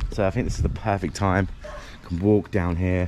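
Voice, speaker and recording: A man speaks at a moderate pace with lively intonation. Music plays in the background. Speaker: travel vlogger. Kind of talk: casual vlog chat. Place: street. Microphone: phone near.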